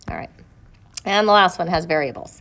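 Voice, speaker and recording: Medium-pitched woman in a normal speaking voice, with fairly even intonation. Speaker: math teacher. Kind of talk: tutorial. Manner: casual.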